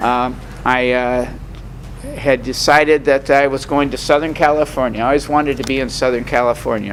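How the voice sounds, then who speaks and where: Against noticeable background noise, a man talks fairly quickly in a flat monotone. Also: medium pitch for a man. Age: 70s. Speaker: recovery meeting speaker. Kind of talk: testimony. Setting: meeting with audience. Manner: halting, many fillers.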